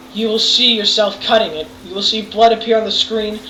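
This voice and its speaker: A woman speaks at a medium pitch with an American accent. Noticeable background noise is present. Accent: wavering between English and American. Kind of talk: video game review commentary. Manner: casual, rambling.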